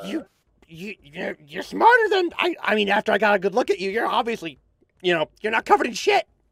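A man puts on a high-pitched character voice and speaks at a fairly quick pace. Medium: actual play. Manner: stammering, halting, repeats words.

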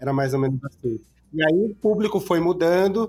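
A man's high-pitched voice with ordinary pitch variation at a moderate pace, music in the background. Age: 40s. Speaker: motel guide entrepreneur. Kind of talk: podcast interview. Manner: casual.

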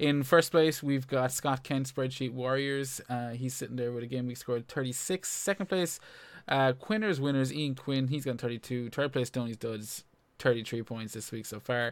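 This man has a plain, everyday voice, pitched in the medium range with ordinary variation and delivered at a moderate tempo. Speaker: FPL podcast host. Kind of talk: casual chat about fantasy football.

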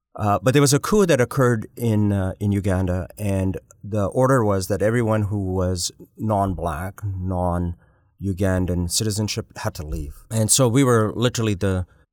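An unremarkable speaking voice with ordinary pitch variation at a moderate pace, in a very clean recording with a silent background and a dry, close sound with no echo. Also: man. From Canada. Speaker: hospital executive. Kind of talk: interview.

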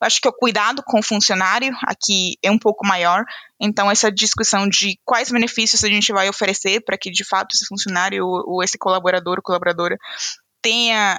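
A woman's bright, sharp tone at a medium pitch, with a non-native accent, fairly even intonation, a fairly quick pace and a dry, close sound with no echo. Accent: noticeable foreign accent in Portuguese. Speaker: HR analyst. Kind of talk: casual interview chat.

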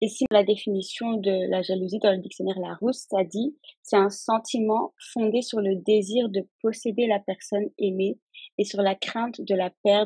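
A plain, everyday voice at a fairly slow pace with fairly even intonation and a dry, close sound with no echo. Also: woman. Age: 20s. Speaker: insurance claims handler. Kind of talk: casual chat.

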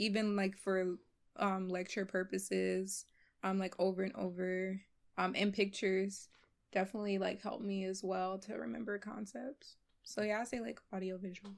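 A plain, everyday voice with an American accent, moderate pace and fairly even intonation, on a very clean recording with a silent background. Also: woman. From US Northeast, Philadelphia. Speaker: medical student. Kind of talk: casual chat.

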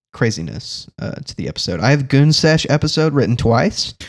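Vocal fry marks a man's fairly quick speech on a very clean recording with a silent background. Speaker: guest co-host on a comedy podcast. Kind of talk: casual comedic banter.

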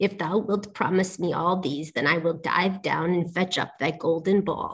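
Using a put-on character voice, a woman speaks at a moderate pace with a medium pitch. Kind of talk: storybook reading. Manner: old-fashioned formal speech with thee and thou.

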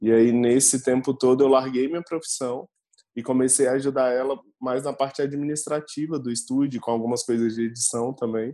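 This man talks at a fairly quick pace in a medium pitch. His tone is dark and mellow, but his intonation stays flat and monotone. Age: 30s. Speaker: photographer. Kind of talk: casual chat.

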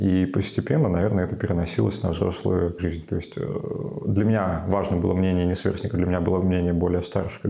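Amid noticeable background noise and audible room echo, a man with a very deep, low pitch speaks at a fairly quick pace, with very even loudness and hardly any pauses. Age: 20s. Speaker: sociologist. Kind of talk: interview.

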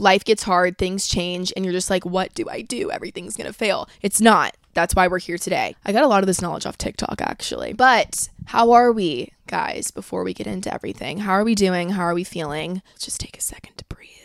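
On a very clean recording with a silent background, a woman speaks at medium pitch with hardly any pauses. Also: ordinary pitch variation. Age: 20s. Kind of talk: casual solo monologue. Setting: home recording in a trailer, on camera.

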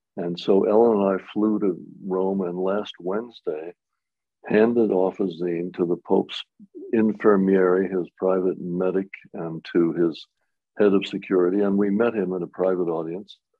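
A man's very deep, low voice at a moderate pace, with monotone, flat intonation. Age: 80s. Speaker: inventor. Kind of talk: casual interview.

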